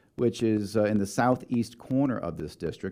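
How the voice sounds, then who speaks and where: This man's dark, mellow tone sits at a fairly low pitch, with ordinary pitch variation and a moderate pace. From New York, Long Island. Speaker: congressional candidate, former military pilot. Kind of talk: radio interview.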